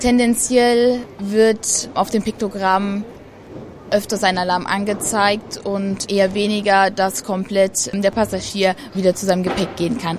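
The speaker talks at a fairly slow pace with fairly even intonation while noticeable background noise runs underneath. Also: woman, medium pitch for a woman. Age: 20s. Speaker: federal police officer. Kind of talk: interview.

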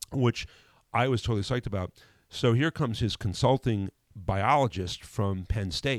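A man with an American accent speaks at a moderate pace and medium pitch with ordinary pitch variation, in a very clean recording with a silent background and a dry, close sound with no echo. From Connecticut, New Haven area. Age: 60s. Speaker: mechanical engineer and airport manager. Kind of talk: casual interview chat. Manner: halting, many fillers and repetitions.

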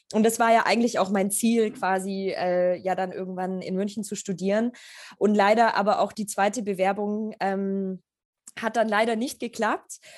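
Against a quiet background, a woman speaks at a moderate pace and medium pitch in a monotone with flat intonation. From Germany, Augsburg area. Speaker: photographer. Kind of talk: interview. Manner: halting with many fillers.

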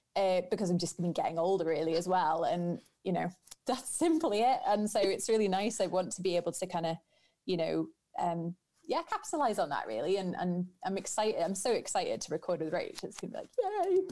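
A woman talks at a fairly quick pace in a dark, mellow tone. Her pitch is medium, with ordinary variation. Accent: Manx. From Isle of Man. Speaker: Manx Gaelic singer. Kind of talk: casual interview chat.

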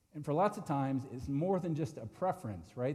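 A man's fairly quick, fairly high-pitched delivery in a normal speaking voice. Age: 50s. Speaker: pastor. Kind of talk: sermon.

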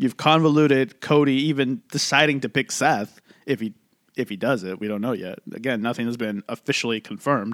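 The recording is very clean, with a silent background and a dry, close sound with no echo. A man talks at a fairly quick pace at a medium pitch, with ordinary pitch variation. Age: 30s. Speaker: wrestling podcast host. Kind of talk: casual chat. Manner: animated.

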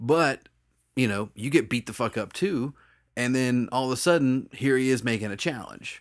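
On a very clean recording with a silent background, a man with a plain, everyday voice speaks at a medium pitch and moderate pace, using ordinary pitch variation. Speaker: podcast co-host. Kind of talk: casual chat.

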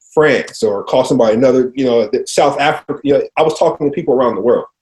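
Lively intonation marks the delivery. The accent is American. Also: man. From US Midwest, Cincinnati, Ohio. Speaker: clinical research company CEO. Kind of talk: interview. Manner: halting, many repeated words and fillers.

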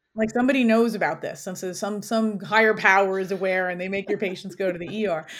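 A woman speaks with an American accent at a medium pitch and fairly even intonation. Her pace is very fast, with hardly any pauses. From New York City (Queens). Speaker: orthopedic surgeon. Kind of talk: interview.

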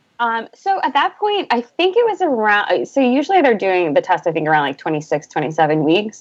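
The voice swings very widely in pitch and hardly pauses at all. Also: woman, fairly high pitch for a woman, moderate pace. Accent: American. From US Northeast, Boston. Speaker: advertising creative director and podcaster. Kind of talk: casual interview chat.

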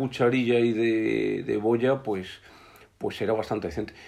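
At a moderate pace, a man talks in a normal speaking voice of medium pitch. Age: 60s. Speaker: biologist and hunting and fishing journalist. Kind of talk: casual chat.

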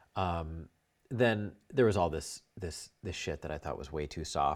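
On a very clean recording with a silent background, a man with a very deep, low pitch speaks with lively intonation. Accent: American. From New York. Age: 30s. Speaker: filmmaker. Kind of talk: casual interview.

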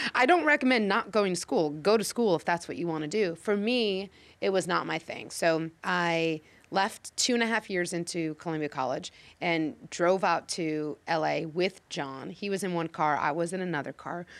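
An energetic woman's voice with an American accent, fairly low pitch, ordinary pitch variation, and a moderate pace. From US Midwest, Chicago. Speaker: casting director. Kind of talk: interview. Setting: office at a studio lot.

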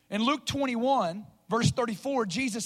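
A man's high-pitched voice in a Southern US accent, with ordinary pitch variation, on a very clean recording with a silent background. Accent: Southern American. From US South, Northwest Arkansas. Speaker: preacher. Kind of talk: sermon.

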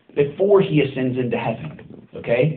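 A man's voice with very wide pitch swings at a fairly slow pace, with audible room echo. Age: 30s. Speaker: pastor. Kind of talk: sermon.

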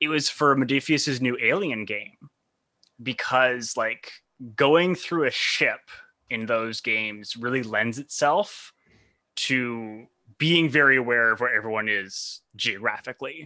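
A man speaks fairly slowly in an unremarkable speaking voice, medium in pitch with ordinary pitch variation, over a quiet background. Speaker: freelance game designer, guest co-host. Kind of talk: casual chat. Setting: video call.

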